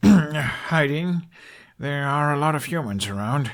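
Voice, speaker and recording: Putting on a character voice, a man speaks fairly slowly in a fairly high pitch with ordinary pitch variation, on a very clean recording with a silent background. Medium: read story. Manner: cool, light, controlled.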